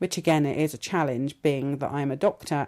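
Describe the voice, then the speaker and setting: In a British accent, a woman with a very deep, low pitch and a dark, mellow tone speaks at a moderate pace with fairly even intonation on a very clean recording with a silent background. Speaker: academic podcast host. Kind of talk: interview. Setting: theatre venue.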